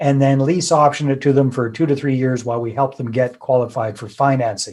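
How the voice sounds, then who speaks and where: In a Canadian accent, a man with an ordinary speaking voice talks at a fairly quick pace with medium pitch and fairly even intonation. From Canada, British Columbia. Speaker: real estate investor and author. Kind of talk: podcast interview.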